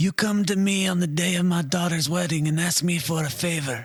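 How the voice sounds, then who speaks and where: A man uses a put-on character voice with a high pitch and a raspy quality. He talks at a fairly quick pace. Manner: solemn, menacing.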